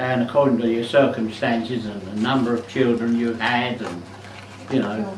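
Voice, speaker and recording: A man's voice sits at a medium pitch. Noticeable background noise is present behind him. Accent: London. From South East London. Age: 80s+. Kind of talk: casual reminiscing at home. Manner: hesitant, slow.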